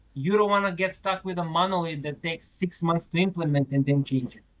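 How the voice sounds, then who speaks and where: A man speaks in a high voice with lively intonation and a Macedonian accent. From North Macedonia. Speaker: retail technology product manager. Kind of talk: podcast interview. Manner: repetitive stammering on words.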